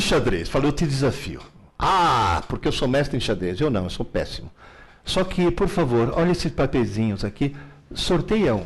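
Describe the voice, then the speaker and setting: The voice has vocal fry and very wide pitch swings, moving at a moderate pace with very even loudness. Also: man. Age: 70s. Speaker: teacher and author on learning. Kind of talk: live Q&A interview. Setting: live stream. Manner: animated.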